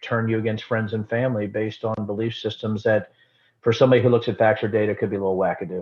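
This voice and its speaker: A man talks very fast in a medium pitch, his intonation monotone and flat. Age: 50s. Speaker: former congressman and distillery owner. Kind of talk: casual interview conversation.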